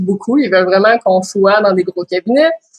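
With a Quebec accent, a woman speaks at a moderate pace in a medium pitch, the sound dry and close with no echo. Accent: Québécois French. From Quebec, Quebec City. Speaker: lawyer and business owner. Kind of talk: interview.

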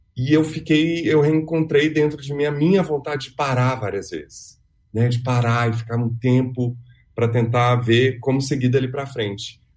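At a moderate pace, a man with a medium pitch speaks in a somewhat breathy voice with ordinary pitch variation. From Minas Gerais, Brazil (Belo Horizonte). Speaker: actor and theatre director. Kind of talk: interview.

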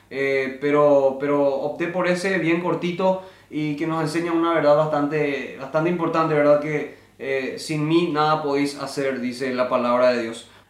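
A man speaks at a fairly slow pace, fairly high in pitch for a man, with fairly even intonation. Noticeable background noise and audible room echo surround him. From Paraguay. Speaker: podcast host, musician. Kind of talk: casual chat.

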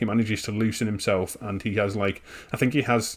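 Someone with a northern English accent speaks at a moderate pace in a very clean recording with a silent background. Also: man. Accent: soft northern English. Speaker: podcast host. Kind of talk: casual chat.

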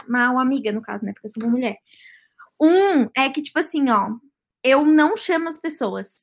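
A woman at a moderate pace with lively intonation. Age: 20s. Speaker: social media influencer. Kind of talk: casual chat.

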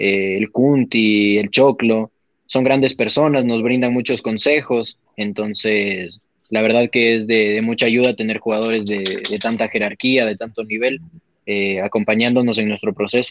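Fairly even in intonation and fairly slow in pace, this is an unremarkable speaking voice. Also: man, medium pitch for a man. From Ecuador, Quito. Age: 20s. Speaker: professional footballer. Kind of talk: interview.

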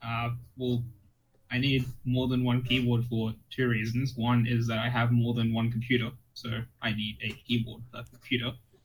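A man's somewhat breathy, medium-pitched voice in a monotone, flat intonation, at a moderate pace with long, frequent pauses. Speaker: keyboard hobbyist. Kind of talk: casual chat. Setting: online voice chat.

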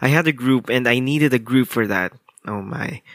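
Recorded dry and close with no echo, a man talks at a medium pitch in a bright, sharp tone with lively intonation. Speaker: solo podcast host. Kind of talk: casual monologue. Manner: chatty, frequent laughs.

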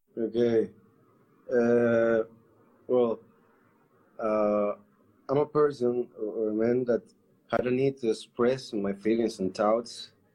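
In a Spanish accent, a man with a dark, mellow tone and medium pitch speaks at a very slow pace in a monotone, flat intonation, with long, frequent pauses. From Colombia. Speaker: artist. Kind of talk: casual interview. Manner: halting. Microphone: connection dropped.

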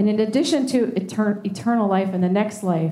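At a moderate pace, a woman with an unremarkable speaking voice speaks with ordinary pitch variation. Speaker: worship leader. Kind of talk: worship service leading. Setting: church with congregation, also streamed online.

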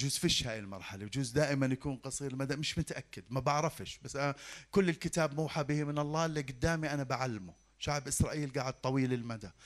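A man with an ordinary speaking voice, medium pitch, a fairly quick pace and ordinary pitch variation. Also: very clean recording, silent background. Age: 50s. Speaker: pastor. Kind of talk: sermon.

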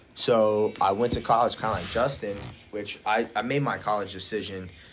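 With an American accent, a man speaks at a fairly low pitch over noticeable background noise. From rural Ohio. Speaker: powerlifter. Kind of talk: casual chat.

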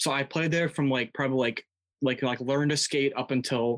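Over a quiet background, a man with an American accent uses an ordinary speaking voice at medium pitch and moderate pace, with fairly even intonation and a dry, close sound with no echo. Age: 20s. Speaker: college student, former hockey player. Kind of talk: casual chat.

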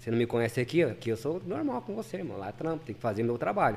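A man talks at a very fast pace. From São Paulo city, east zone (Vila Formosa). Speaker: retail warehouse manager. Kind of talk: casual chat.

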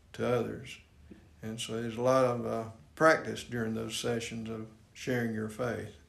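Speaking at a moderate pace with an American accent, a man keeps a medium pitch and monotone, flat intonation. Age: 70s. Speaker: church deacon, retired safety engineer. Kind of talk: casual interview. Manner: hesitant, many fillers.

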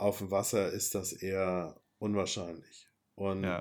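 A man speaks at a fairly low pitch with monotone, flat intonation. The recording is very clean, with a silent background. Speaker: podcast host planning a sailing voyage with family. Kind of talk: casual chat.

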